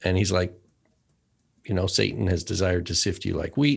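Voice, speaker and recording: With vocal fry, a man talks in a very deep, low pitch. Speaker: podcast co-host. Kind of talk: casual chat.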